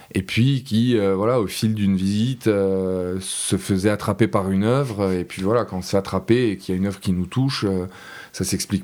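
Ordinary pitch variation marks this man's voice as he speaks at a moderate pace. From Corsica, Porto-Vecchio. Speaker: contemporary art event organiser. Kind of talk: interview. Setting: studio. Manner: halting, many hesitations.

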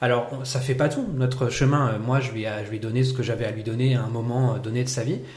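Audible room echo surrounds a monotone, flat delivery at a moderate pace with hardly any pauses. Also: man, medium pitch for a man. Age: 30s. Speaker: improv actor and teacher. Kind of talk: casual chat.

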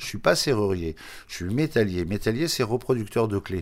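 There is noticeable background noise as a man talks with lively intonation. His pitch is fairly low and his pace moderate. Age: 70s. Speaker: shoemaker. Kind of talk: interview testimony. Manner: halting, many repetitions.

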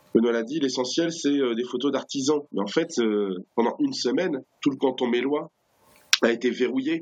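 A man talks at a medium pitch. His pace is moderate and his pitch variation ordinary. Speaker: activist spokesperson. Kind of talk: interview. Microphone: poor connection.

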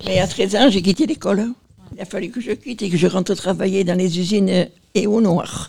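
Fairly quick speech from a woman of medium pitch, with a dark, mellow tone and ordinary pitch variation. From Marseille, southern France. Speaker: nursing home resident. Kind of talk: interview. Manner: halting.

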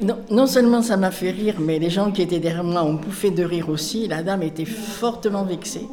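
A woman's voice with noticeable background noise and audible room echo. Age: old. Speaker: volunteer tutor. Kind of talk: interview testimony.

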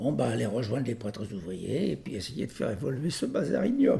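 A man talks at a moderate pace in a dark, mellow tone with vocal fry. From Normandy, France. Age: 80s+. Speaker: worker-priest. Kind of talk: interview. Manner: halting.

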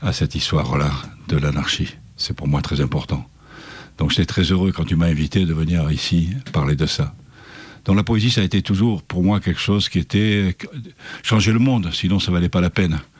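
Very even in loudness, a man with a very deep, low pitch speaks with long, frequent pauses. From Provence, southern France. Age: 70s. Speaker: poet. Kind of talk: interview.

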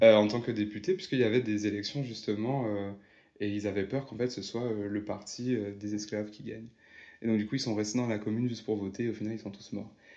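A man's very fast, monotone delivery, fairly low in pitch, dark and mellow in tone, flat in intonation, over a quiet background. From Martinique. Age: 20s. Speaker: podcast guest. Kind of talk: interview conversation.

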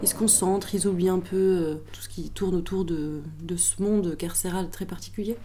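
A woman at medium pitch talks at a moderate pace with hardly any pauses, in a monotone, flat intonation with big swings in loudness. Noticeable background noise and audible room echo are present. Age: 30s. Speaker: prison teacher. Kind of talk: testimony.

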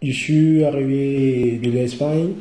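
A man speaks with a dark, mellow tone and a somewhat breathy quality. Room echo is audible. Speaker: young migrant. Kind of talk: testimony. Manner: halting.

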